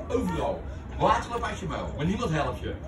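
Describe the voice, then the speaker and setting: Noticeable background noise fills the clip. Over it, a man talks fairly quickly. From Rotterdam Zuid, Netherlands. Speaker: entertainer telling stories. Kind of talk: casual chat, storytelling. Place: cafe. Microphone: camera far.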